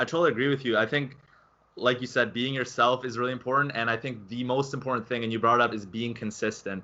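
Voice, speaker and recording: A man at a medium pitch, very fast, with fairly even intonation. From Canada. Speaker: gaming channel host. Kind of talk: interview.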